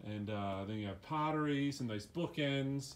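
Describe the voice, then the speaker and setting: In a normal speaking voice, a man keeps to a moderate pace. His medium pitch shows ordinary variation. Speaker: auction house walkthrough presenter. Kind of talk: casual walkthrough tour. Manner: casual, conversational.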